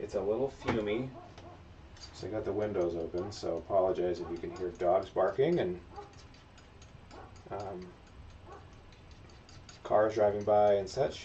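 Over light background noise, a man with a fairly low voice speaks at a moderate pace with ordinary pitch variation and long, frequent pauses. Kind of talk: casual livestream tutorial chat. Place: workshop.

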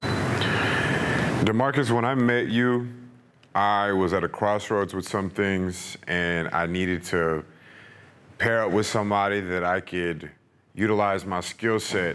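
A man's fairly low voice at a very slow pace, with ordinary pitch variation. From East Texas. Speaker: YouTube channel host. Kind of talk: casual interview. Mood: warm, praising. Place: gym.

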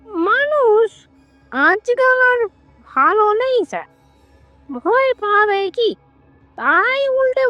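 A put-on character voice speaks at a very slow pace with faint music in the background. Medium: audio drama. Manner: timid, deferential, hesitant.

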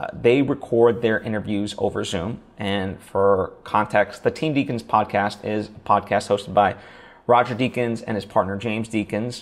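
A man's pitch varies in an ordinary way as he talks at a medium speed. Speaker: podcasting coach. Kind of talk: tutorial. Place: home room. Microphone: lapel.

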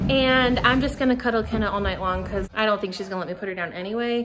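Light noise sits in the background as a woman talks. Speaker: family vlogger. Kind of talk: casual vlog chat. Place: home room. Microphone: phone near.

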